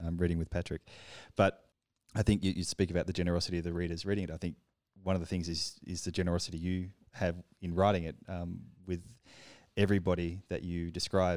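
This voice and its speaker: A man with an Australian accent, very deep and low in pitch, flat and monotone, at a very fast pace broken by long, frequent pauses. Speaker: podcast co-host, publisher. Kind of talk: conversational interview.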